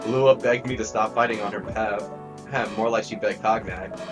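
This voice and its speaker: A fairly quick pace with music in the background. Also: man. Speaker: gamer doing a let's play. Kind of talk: casual gaming commentary with read-aloud dialogue. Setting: noise-suppression filter, slightly robotic sound.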